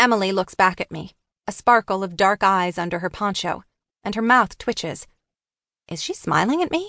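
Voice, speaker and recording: A woman's bright, sharp voice at a medium pitch, with ordinary pitch variation and a moderate pace, in a dry, close recording with no echo and a quiet background. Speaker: audiobook narrator. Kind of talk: dramatic audiobook narration, first-person teen thriller read aloud with character voices. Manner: hushed, tense and suspenseful, with wry teenage sarcasm and shifts between characters.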